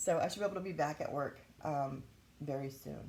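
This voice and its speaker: The speaker is a woman with vocal fry. She talks at a moderate pace. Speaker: YouTuber sharing health experience. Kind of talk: casual vlog talk. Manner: halting, with frequent fillers.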